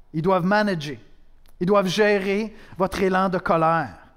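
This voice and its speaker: Ordinary pitch variation and high pitch from a man. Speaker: pastor. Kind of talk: sermon, preaching to a congregation, with a prayer. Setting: church. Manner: conversational, direct, addressing the listener as "tu"; earnest, with dry humor and rhetorical questions.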